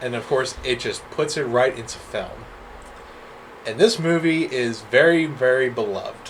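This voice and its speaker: A man with a slight Southern US accent, fairly slow pace and ordinary pitch variation, with noticeable background noise. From US South. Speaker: podcast co-host. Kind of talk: casual chat.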